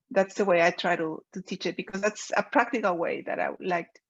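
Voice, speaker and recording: A woman talks fairly quickly in a Peruvian accent, her medium pitch showing ordinary variation. There is vocal fry, and the sound is dry and close with no echo. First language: Spanish. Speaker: professor. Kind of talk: lecture. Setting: video call.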